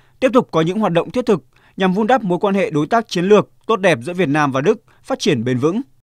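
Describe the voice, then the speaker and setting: A man's high-pitched voice at a very fast pace, with very wide pitch swings, on a very clean, dry, close recording with no echo and a silent background. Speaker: news narrator. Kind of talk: scripted narration. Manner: formal.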